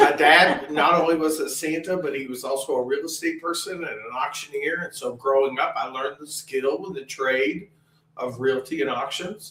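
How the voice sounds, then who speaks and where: This is a normal speaking voice at a moderate pace, with ordinary pitch variation and big swings in loudness. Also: man, fairly high pitch for a man. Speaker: Santa Claus performer. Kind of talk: interview.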